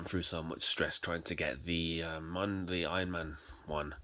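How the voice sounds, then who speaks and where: A man's very deep, low voice with a bright, sharp tone, on a very clean recording against a silent background. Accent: British. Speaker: YouTube collector reviewer. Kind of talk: casual product review vlog. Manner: halting, many fillers and repetitions.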